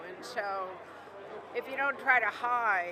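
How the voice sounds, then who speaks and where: With crowd noise behind her, a woman speaks at a fairly high pitch in a bright, sharp tone. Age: 60s. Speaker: singer-songwriter. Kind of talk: red carpet interview. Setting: red carpet at awards show.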